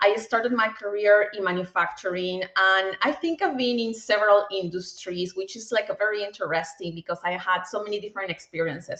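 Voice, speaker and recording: A woman's medium-pitched voice with a slight Peruvian accent and ordinary pitch variation, over noticeable background noise. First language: Spanish. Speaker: bank executive. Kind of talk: interview.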